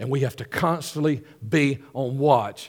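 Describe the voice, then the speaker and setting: A man speaks with a Southern US accent. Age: 50s. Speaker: pastor. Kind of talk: sermon.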